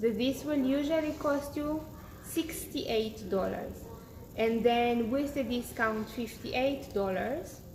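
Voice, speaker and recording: A woman with a non-native accent speaks very slowly in a high voice with ordinary pitch variation, over noticeable background noise and audible room echo. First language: not English. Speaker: beauty influencer. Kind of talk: live-stream product demo and sales pitch. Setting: Instagram live broadcast. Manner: casual, slightly halting.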